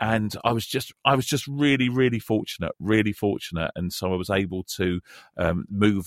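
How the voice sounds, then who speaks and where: A man with a London accent talks at a moderate pace with ordinary pitch variation, the sound dry and close with no echo and the recording very clean over a silent background. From North London. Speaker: radio presenter, teacher and football coach. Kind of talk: casual chat.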